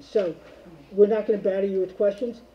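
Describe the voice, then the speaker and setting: This man's voice has a dark, mellow tone. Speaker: board chair. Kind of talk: public meeting. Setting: meeting room, speaking through a mask. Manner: halting.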